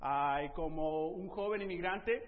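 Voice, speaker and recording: Audible room echo surrounds a man speaking at a high pitch with ordinary pitch variation. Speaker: preacher. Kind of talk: sermon.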